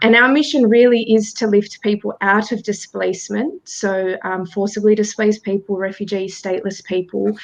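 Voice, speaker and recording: A woman with an Australian accent, fairly even intonation and hardly any pauses. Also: medium pitch for a woman, moderate pace. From Australia, after childhood in Bosnia. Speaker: charity director. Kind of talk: panel interview. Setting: video call.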